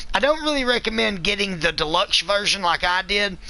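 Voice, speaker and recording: Noticeable background noise sits behind a man. His tone is enthusiastic, with ordinary pitch variation. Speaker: gaming video reviewer. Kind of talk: live-streamed game review. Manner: loud.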